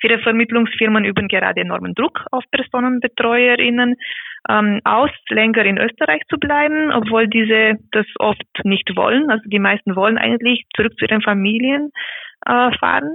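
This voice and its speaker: In a Romanian accent, a woman talks at a moderate pace and fairly high pitch, with ordinary pitch variation and very even loudness. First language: Romanian (speaking German). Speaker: care worker activist. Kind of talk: interview.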